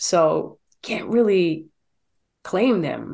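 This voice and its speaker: A woman speaks with vocal fry. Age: 30s. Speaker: fitness trainer. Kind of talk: casual chat. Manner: animated.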